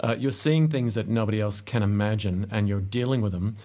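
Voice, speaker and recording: This man speaks at a fairly quick pace in an ordinary speaking voice, his pitch fairly low. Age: 50s. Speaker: podcast host. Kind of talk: interview. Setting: podcast studio.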